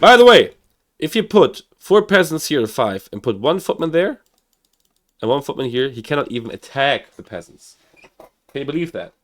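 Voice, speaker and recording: A man with a German accent talks at a moderate pace, with vocal fry. His pitch swings very widely, and so does his loudness. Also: fairly high pitch for a man. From Germany (Hamburg). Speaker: gaming streamer. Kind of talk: live game commentary. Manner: animated; halting.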